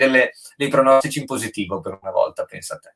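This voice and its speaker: A man with a plain, everyday voice talks at a fairly quick pace and a medium pitch. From Friuli, Carnia (Tolmezzo). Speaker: rapper. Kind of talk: casual chat. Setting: live stream.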